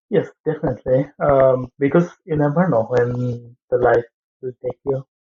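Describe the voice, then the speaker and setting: A man with a Bangladeshi accent, somewhat breathy at medium pitch, fairly slow and with fairly even intonation. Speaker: aviation engineering student and trainee pilot. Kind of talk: interview answer.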